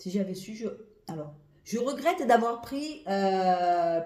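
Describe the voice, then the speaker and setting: Animated in tone, a woman's voice leaps across very wide pitch swings amid audible room echo. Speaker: perfume reviewer. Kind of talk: casual product review vlog. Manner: animated, hesitant with many fillers.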